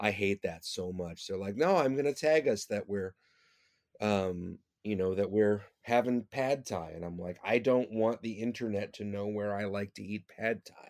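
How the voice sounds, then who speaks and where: A man with an American accent at a fairly low pitch, moderate pace, ordinary pitch variation and big swings in loudness, on a very clean recording with a silent background. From Detroit, Michigan area. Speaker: touring singer-songwriter. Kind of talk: casual interview chat. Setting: at home. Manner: hesitant, many fillers.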